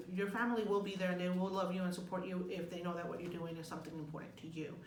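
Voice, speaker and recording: A woman is heard with noticeable background noise. There is audible room echo. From Mexico, moved to US at nine. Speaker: graduate student. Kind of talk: casual advice chat.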